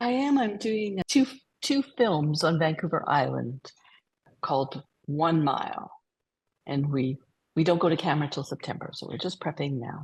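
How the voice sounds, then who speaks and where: A woman with a Canadian accent speaks in a very deep, low, somewhat breathy voice at a moderate pace, with very wide pitch swings and long, frequent pauses. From Alberta, Canada. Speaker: costume designer. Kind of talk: interview.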